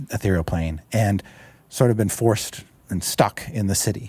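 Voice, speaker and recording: In a somewhat breathy, fairly low voice, a man talks on a very clean recording with a silent background. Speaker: game writer. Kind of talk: casual chat. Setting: studio.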